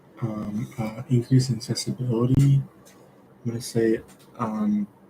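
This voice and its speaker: Fairly slow pace and fairly even intonation over noticeable background noise. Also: man, medium pitch for a man. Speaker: student streaming study sessions. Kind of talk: live study stream, thinking aloud. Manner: halting, self-correcting.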